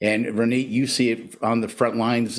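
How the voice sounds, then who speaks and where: A man with a plain, everyday voice speaks at a medium pitch and a moderate pace on a very clean recording with a silent background. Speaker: retired police officer, drug policy coordinator. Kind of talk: casual interview.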